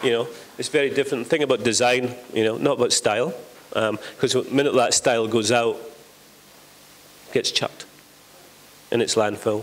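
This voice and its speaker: In a Scottish accent, the speaker talks at a fairly quick pace with fairly even intonation and long, frequent pauses over noticeable background noise. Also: man, medium pitch for a man. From Scotland. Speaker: panelist. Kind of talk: panel discussion. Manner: loud; casual, swearing. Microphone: no microphone at first.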